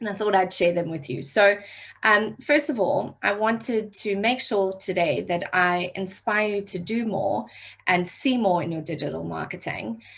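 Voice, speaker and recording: The speaker has a South African accent, a moderate pace and lively intonation. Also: woman, medium pitch for a woman. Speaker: digital marketing trainer. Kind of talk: online workshop training. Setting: video call.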